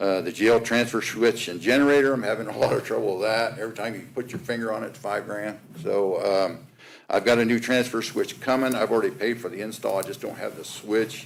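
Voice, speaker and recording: Speaking at a fairly quick pace, a man has a medium pitch and fairly even intonation. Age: 60s. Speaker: county facilities maintenance manager. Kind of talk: budget presentation. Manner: casual, hesitant with fillers.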